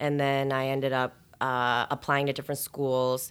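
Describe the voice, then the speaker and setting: The speaker uses monotone, flat intonation with an American accent. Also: woman. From Chicago area, Schaumburg. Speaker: title company director and attorney. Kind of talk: casual interview.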